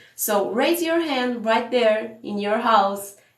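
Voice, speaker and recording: With audible room echo around her, a woman in a Portuguese accent speaks at a fairly slow pace. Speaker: business coach. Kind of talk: live stream sales tips talk. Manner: animated.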